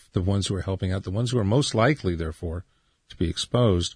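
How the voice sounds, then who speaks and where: A man speaks in a somewhat breathy voice with ordinary pitch variation against a quiet background. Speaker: radio host. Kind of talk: radio interview. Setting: studio.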